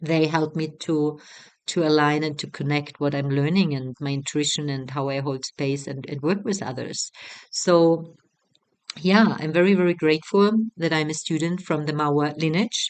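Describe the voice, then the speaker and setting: A woman with a German accent speaks in a very deep, low pitch. Her pace is moderate and her intonation fairly even. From Germany. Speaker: retreat facilitator. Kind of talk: promotional talk. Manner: halting.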